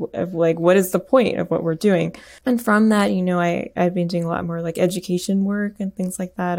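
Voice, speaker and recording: With a fairly low pitch and ordinary pitch variation, a woman talks at a moderate pace in a normal speaking voice on a very clean recording with a silent background. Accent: American. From US Midwest, Michigan. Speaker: composer. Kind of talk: interview.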